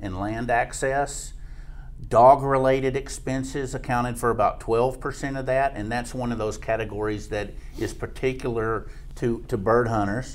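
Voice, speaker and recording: A man's plain, everyday voice, medium in pitch, at a fairly slow pace with fairly even intonation. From Jack County, Texas. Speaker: extension economist. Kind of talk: expert interview.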